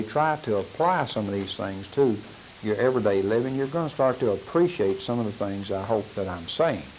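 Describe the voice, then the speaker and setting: Over noticeable background noise and audible room echo, a man speaks at a moderate pace. His medium-pitched voice has lively intonation. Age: 70s. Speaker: law enforcement trainer. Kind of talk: lecture. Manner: halting, with fillers.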